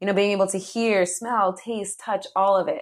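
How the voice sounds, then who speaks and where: A woman speaks with an American accent. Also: quiet background. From New Jersey. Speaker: meditation studio founder. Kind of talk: guided meditation; interview conversation.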